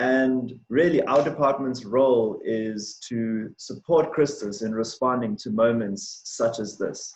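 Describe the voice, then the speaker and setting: With a South African accent, a man talks at a fairly slow pace, with ordinary pitch variation and hardly any pauses. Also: medium pitch for a man. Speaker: diversity and inclusion manager. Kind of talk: presentation on race.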